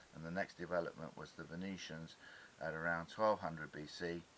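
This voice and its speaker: A man's very deep, low pitch in monotone, flat intonation at a moderate pace. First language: Greek. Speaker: independent dyslexia researcher. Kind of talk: illustrated lecture. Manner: hesitant, frequent uh fillers.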